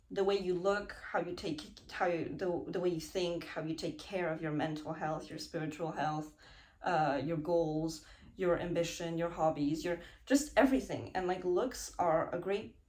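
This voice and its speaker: The speaker shows ordinary pitch variation, with noticeable background noise in the clip. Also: woman, fairly low pitch for a woman. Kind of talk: casual talk to camera. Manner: slow.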